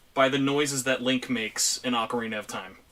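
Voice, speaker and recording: A loud man speaks at a moderate pace in a bright, sharp tone with a fairly high pitch. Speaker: streamer and podcast host. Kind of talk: casual chat. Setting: video call.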